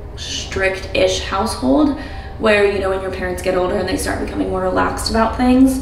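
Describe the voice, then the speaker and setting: A woman's voice with audible room echo and light background noise. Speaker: lifestyle vlogger. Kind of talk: casual vlog chat. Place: bathroom. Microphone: camera far.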